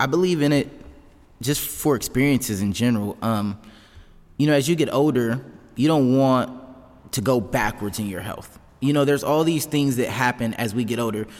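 This is an ordinary speaking voice from a man at a medium pitch. He moves at a moderate pace with ordinary pitch variation. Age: 20s. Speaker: fitness coach and gym owner. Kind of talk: casual chat.

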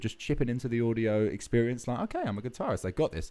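Very fast speech with an Essex accent. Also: man. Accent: southern English (Essex). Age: 20s. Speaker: rock band singer and bassist. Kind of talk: casual interview chat.

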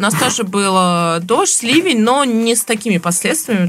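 The voice has ordinary pitch variation, heard over noticeable background noise. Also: woman. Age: young. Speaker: podcast co-host. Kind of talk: casual chat.

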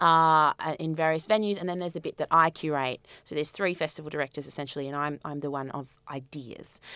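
In an Australian accent, a woman talks at a very fast pace with a bright, sharp tone, very deep, low pitch and fairly even intonation, on a very clean recording with a silent background. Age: 30s. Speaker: festival director and curator. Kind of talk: interview.

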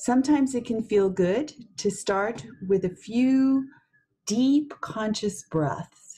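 Very slow and calm with a soothing tone, a woman speaks at a fairly high pitch with lively intonation. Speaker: meditation guide. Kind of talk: guided meditation. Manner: slow, calm, soothing, with long pauses; soft-spoken, gentle.

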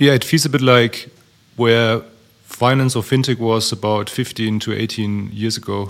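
The speech moves at a moderate pace with fairly even intonation in a German accent. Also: man. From Germany. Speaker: startup founder. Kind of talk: panel discussion.

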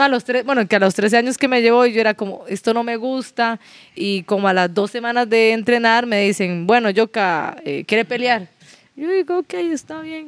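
A woman speaks in a plain, everyday voice at a fairly high pitch. Her intonation is lively, her pace moderate, and the sound dry and close with no echo. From Nicaragua (Managua), raised in Costa Rica. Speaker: professional boxer. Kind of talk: casual chat.

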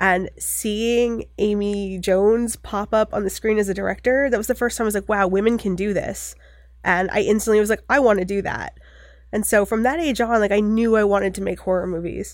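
In a very clean recording with a silent background, a woman with an American accent speaks at a medium pitch with fairly even intonation in a plain, everyday voice. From US Northeast, Maine (Bucksport near Bangor). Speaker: filmmaker and photographer. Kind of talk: casual interview chat.

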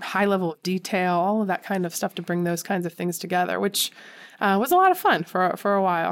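In a very clean recording with a silent background, a woman speaks with an American accent. Her pitch is medium and her pace fairly quick. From Philadelphia suburbs, Pennsylvania. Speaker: civic engagement center director. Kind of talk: interview.

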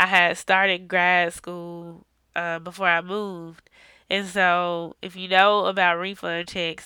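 On a very clean recording with a silent background, a woman speaks in a bright, sharp tone at a fairly low pitch with monotone, flat intonation. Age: 20s. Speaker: podcast host. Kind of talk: casual monologue. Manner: hesitant, many fillers.

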